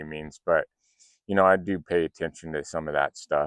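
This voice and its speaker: A man speaks with a very deep, low pitch and fairly even intonation. The sound is dry and close with no echo, over a quiet background. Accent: American. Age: 50s. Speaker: political commentator. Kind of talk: casual monologue. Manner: hesitant, many fillers.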